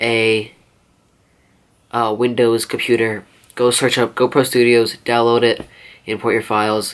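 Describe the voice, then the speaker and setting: A man's medium-pitched voice, monotone and flat in intonation. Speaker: small YouTuber. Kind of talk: casual gear tutorial. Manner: halting, many fillers.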